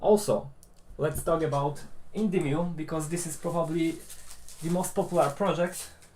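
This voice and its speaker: Someone with a Polish accent delivers the words at a moderate pace. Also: man. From Poland. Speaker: maker YouTuber. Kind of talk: live stream chat. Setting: live stream. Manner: hesitant, many fillers.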